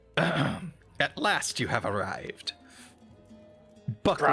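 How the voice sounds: A man puts on a character voice at a fairly high pitch. He speaks at a fairly slow pace over faint background music.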